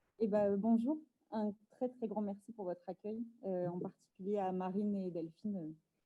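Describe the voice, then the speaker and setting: At a moderate pace, a woman with a plain, everyday voice speaks at a medium pitch with ordinary pitch variation. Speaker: activist and speaker. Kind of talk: lecture.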